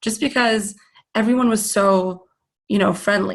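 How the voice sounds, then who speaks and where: The voice is somewhat breathy, with a Persian accent. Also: woman. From Canada. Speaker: meditation teacher. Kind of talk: webinar presentation with Q&A. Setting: online webinar. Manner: casual, with many fillers.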